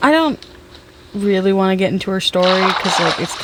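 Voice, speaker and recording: Over noticeable background noise, a woman speaks in a medium pitch. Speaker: gaming streamer. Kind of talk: casual gameplay chat. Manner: loud; halting, repeats words.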